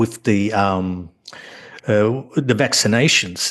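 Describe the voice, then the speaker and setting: A man with an Australian accent, at a fairly slow pace. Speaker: author. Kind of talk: casual chat.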